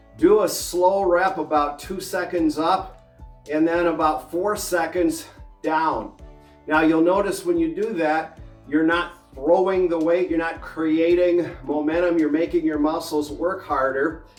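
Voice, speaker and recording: Music plays behind a man whose high voice moves at a fairly slow pace with fairly even intonation. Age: 60s. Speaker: fitness and health advice host. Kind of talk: casual instructional talk to camera.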